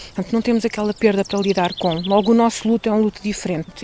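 A woman speaks with an unremarkable speaking voice. Her pitch is fairly high, with ordinary pitch variation. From Portugal, Pedrógão Grande region. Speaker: local community organiser. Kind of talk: interview testimony.

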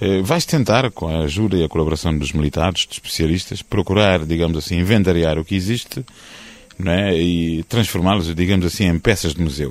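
Fairly quickly, a man speaks with a very deep, low pitch. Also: ordinary pitch variation. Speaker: historian. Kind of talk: interview. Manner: formal.

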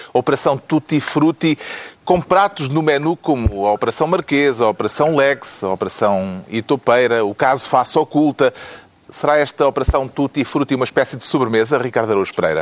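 A plain, everyday voice, this man speaks at a fairly high pitch and fairly quick pace, with lively intonation and very even loudness. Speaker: political talk show host. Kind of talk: panel discussion moderation.

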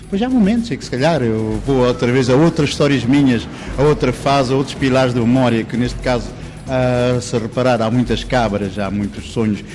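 Noticeable noise is present in the background. A man speaks at a fairly quick speed. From Mozambique. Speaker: painter. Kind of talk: interview.

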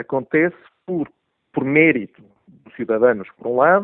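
A man at a moderate pace. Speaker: online newspaper director, commentator. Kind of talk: political analysis on radio. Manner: hesitant, frequent tag questions.

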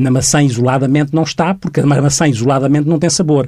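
A man with a fairly high pitch talks at a fairly quick pace in an ordinary speaking voice with ordinary pitch variation. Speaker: mental health professional. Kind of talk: radio interview.

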